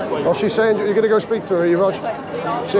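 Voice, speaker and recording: Over crowd noise, a man speaks with fairly even intonation in a dry sound with no echo. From Wales. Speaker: YouTuber filming protests. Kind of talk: live vlog narration. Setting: outdoors at street protest. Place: street. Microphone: phone near.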